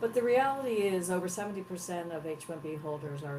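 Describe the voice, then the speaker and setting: A woman's fairly low voice with very wide pitch swings at a fairly quick pace, amid audible room echo and noticeable background noise. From Texas, US South. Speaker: head of an advocacy organization. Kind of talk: interview. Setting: live broadcast.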